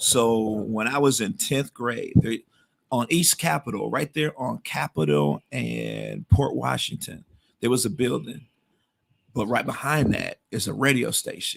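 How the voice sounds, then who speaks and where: A man talks at a fairly slow pace with an American accent. The sound is dry and close, with no echo. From Milwaukee, Wisconsin. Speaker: radio DJ. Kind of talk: casual chat.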